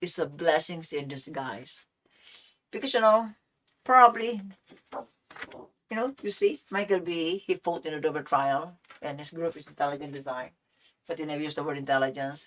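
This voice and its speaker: A woman with a very deep, low pitch speaks with lively intonation. Her loudness swings widely, and she takes long, frequent pauses. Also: moderate pace. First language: non-English, unnamed. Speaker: science channel host. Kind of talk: solo video monologue.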